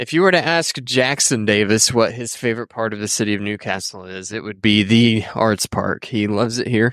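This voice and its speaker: A man speaks in an ordinary speaking voice, medium in pitch with ordinary pitch variation. He talks at a fairly quick pace with hardly any pauses, on a very clean recording with a silent background. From Indiana. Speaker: podcast co-host. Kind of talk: casual chat. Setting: outdoors.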